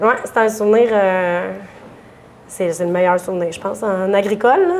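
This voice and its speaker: A woman speaks with a medium pitch. Her pace is moderate. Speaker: dairy farmer. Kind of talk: interview. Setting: restaurant bar. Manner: loud; animated.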